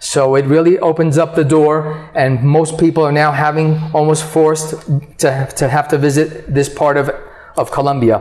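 With an American accent and a fairly high pitch, a man talks at a moderate pace in monotone, flat intonation and very even loudness, against noticeable background noise. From New York, US. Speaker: real estate agent. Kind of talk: interview.

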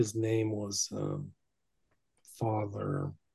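Somewhat breathy, a man talks with an American accent. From Northern California. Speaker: researcher and author on the occult. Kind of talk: casual chat. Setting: remote call.

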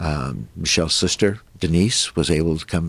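A man's very deep, low voice with vocal fry. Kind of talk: casual interview, personal storytelling. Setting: studio.

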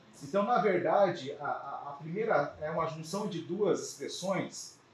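A man talks fairly slowly, his pitch varying in an ordinary way, as noticeable background noise fills the recording. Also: hardly any pauses, big swings in loudness. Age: 40s. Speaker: business mentor and consultant. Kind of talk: lecture. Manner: hesitant, many filler sounds.

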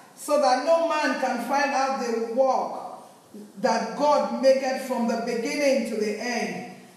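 A woman speaks at a fairly slow pace in a high voice with fairly even intonation, over noticeable background noise. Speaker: scripture reader. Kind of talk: reading aloud.

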